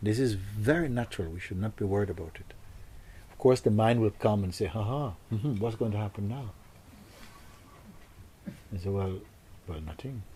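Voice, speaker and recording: A man's fairly low, somewhat breathy voice with a dark, mellow tone, a moderate pace, ordinary pitch variation, big swings in loudness and long, frequent pauses. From Jamaica. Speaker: spiritual teacher. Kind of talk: spiritual talk to audience.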